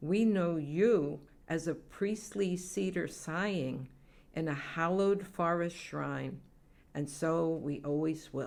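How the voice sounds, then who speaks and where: At a very slow pace, a woman speaks with a fairly low pitch. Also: ordinary pitch variation. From Massachusetts. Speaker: poet. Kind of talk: poetry reading.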